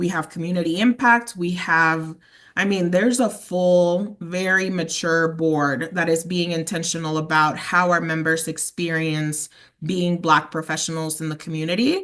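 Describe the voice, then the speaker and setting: A moderate pace in a slight Spanish accent over a quiet background. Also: woman, fairly low pitch for a woman. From Mexico. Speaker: sales representative. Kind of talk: interview. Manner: animated.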